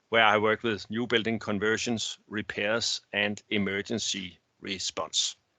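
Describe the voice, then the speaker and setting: He speaks with a Danish accent. His pitch is medium for a man. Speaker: naval architect. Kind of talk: technical presentation. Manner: halting.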